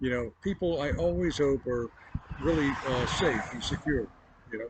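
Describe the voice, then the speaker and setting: A man speaks at a fairly high pitch with lively intonation. His pace is moderate, and background noise is noticeable. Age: 60s. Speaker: roadside vlogger. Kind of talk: casual monologue to camera. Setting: outdoors by a roadside. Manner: halting, many fillers.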